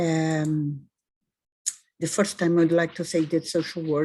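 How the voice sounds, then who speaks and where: A woman speaks with a Brazilian accent. Her voice is very deep and low, dark and mellow in tone. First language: Portuguese. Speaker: social work professor. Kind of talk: presentation. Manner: halting.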